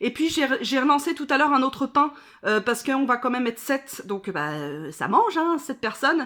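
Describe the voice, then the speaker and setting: Her tone is bright and sharp, with a high pitch and lively intonation. The woman keeps a moderate pace. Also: very clean recording, silent background. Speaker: vlogger. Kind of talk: casual vlog chat. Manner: hesitant, many fillers.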